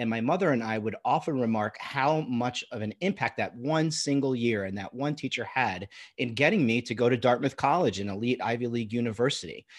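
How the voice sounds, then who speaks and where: With an American accent, a man talks in a normal speaking voice at medium pitch and ordinary pitch variation. He moves at a fairly quick pace with hardly any pauses. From Long Island, New York. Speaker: ed tech founder. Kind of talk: interview.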